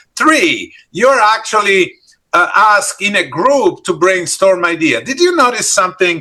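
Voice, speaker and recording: A man speaks at a fairly slow pace in a raised, projected voice with an Italian accent, his pitch high and swinging very widely. His tone is bright and sharp. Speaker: leadership trainer. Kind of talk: interactive workshop. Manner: animated.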